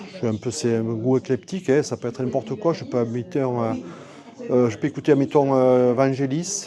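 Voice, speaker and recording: Medium-pitched male voice with ordinary pitch variation and noticeable background noise. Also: moderate pace. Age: 60s. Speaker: sculptor. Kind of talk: casual interview. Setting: art exhibition venue. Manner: halting, many fillers and repetitions.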